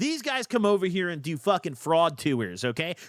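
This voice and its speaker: In an American accent, this animated voice has a bright, sharp tone, a fairly quick pace and very wide pitch swings. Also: man. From Illinois, US. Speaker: livestreamer. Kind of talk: casual livestream commentary.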